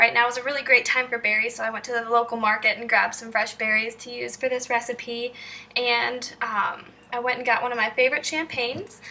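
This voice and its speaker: A woman with a slight Southern US accent at a fairly quick pace, her loudness swinging widely, over noticeable background noise. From Kentucky. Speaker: cooking video maker. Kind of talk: tutorial. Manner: animated.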